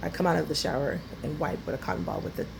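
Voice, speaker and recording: Noticeable background noise and audible room echo surround the woman speaking. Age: 40s. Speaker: author and security guard. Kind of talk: casual vlog monologue. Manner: halting, many fillers.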